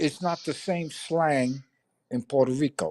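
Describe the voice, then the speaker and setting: Dry and close with no echo, a dark, mellow voice with a New York accent moves at a fairly slow pace. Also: man. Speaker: livestreamer. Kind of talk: casual chat.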